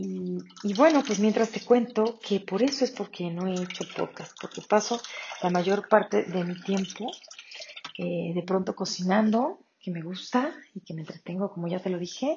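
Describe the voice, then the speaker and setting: A woman's medium-pitched voice, fairly slow, with ordinary pitch variation. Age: 40s. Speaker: podcast host. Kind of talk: casual monologue. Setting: home kitchen.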